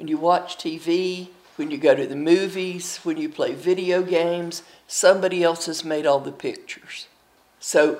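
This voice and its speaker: A woman's fairly low voice in an Appalachian accent, with fairly even intonation. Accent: Appalachian Southern US. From US Appalachia, eastern Tennessee and Kentucky. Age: 80s+. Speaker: storyteller. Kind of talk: interview.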